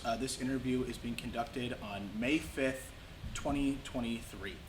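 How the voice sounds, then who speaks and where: Noticeable noise sits in the background. The talking proceeds at a moderate pace. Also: man. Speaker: museum collections manager. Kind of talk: interviewer questions.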